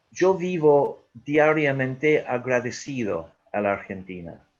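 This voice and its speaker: With lively intonation, a man speaks in a strong Irish accent. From Ireland. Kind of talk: webinar talk.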